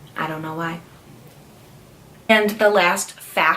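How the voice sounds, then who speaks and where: There is noticeable background noise behind the speaker. A woman talks at a moderate pace with ordinary pitch variation. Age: 20s. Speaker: lifestyle vlogger. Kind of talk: casual vlog talk. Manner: chatty, filler words.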